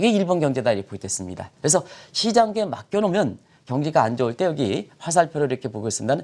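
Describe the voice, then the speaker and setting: Talking at a very fast pace, a man uses a fairly high pitch with vocal fry and very wide pitch swings. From South Korea. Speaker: newspaper editorial writer, economics commentator; economics commentator. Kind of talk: TV economics explainer interview. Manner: hesitant, many fillers. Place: studio. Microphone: lapel.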